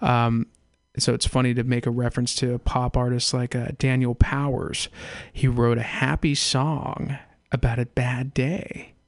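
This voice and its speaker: An unremarkable speaking voice: a man at medium pitch, fairly slow, with fairly even intonation. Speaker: radio host. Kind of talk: casual chat. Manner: casual, rambling with many fillers.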